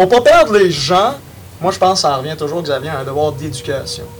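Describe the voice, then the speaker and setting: A man with a fairly high voice talks at a moderate pace with lively intonation over noticeable background noise. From Quebec, Saint-Charles-sur-Richelieu. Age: young. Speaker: youth party representative. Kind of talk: casual panel discussion.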